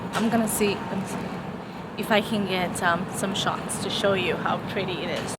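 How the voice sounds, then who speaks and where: Over noticeable background noise, a woman with a medium pitch speaks at a moderate pace in a monotone, flat intonation. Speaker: vlogger. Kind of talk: casual vlog. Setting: library, then outdoors on campus.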